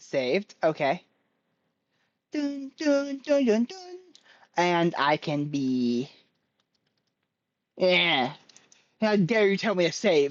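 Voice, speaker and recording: A woman at a fairly low pitch with very wide pitch swings, a very slow pace and long, frequent pauses. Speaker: streamer. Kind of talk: casual chat. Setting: live stream. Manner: scattered, jumps between topics; animated.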